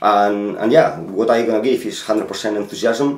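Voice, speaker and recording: A man's speech at a moderate pace with a Spanish accent and fairly even intonation. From Spain. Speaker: football manager. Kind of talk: interview. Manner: halting.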